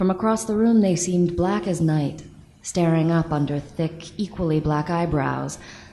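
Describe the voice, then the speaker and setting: Against noticeable background noise, a woman speaks at a moderate pace with a fairly low pitch and ordinary pitch variation. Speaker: audiobook narrator. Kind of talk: live audiobook reading.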